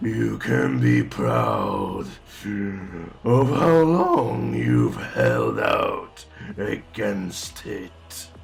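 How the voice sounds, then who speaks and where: Clear music plays in the background while a man uses a put-on character voice, raspy and very deep and low in pitch. He talks at a very slow pace. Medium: audio drama. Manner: mocking, slow, tempting.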